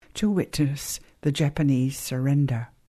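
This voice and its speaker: Against a quiet background, a somewhat breathy woman with a dark, mellow tone speaks at a fairly slow pace. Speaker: radio host. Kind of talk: scripted narration, recapping story.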